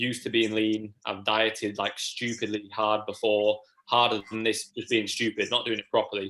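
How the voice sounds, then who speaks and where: With an East Midlands accent, a man of fairly low pitch speaks at a moderate pace in a flat, monotone delivery. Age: 20s. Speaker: natural bodybuilder and online fitness coach. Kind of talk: casual chat.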